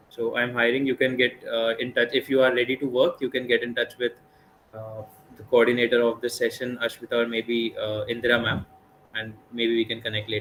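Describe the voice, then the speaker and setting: A man at medium pitch and a fairly quick pace, over noticeable background noise. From northern India (Delhi, Mumbai). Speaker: blockchain speaker. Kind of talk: webinar lecture. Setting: online live session. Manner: fast.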